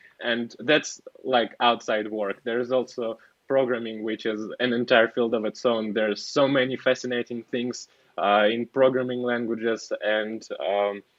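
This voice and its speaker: A man with a non-native accent, medium pitch, flat monotone intonation and a fairly slow pace. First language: not English. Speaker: software engineer. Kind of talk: casual interview. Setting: podcast. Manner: halting, many fillers.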